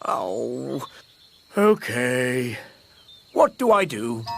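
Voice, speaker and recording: A man uses a raspy put-on character voice. It sits at a medium pitch. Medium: cartoon. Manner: posh, pompous.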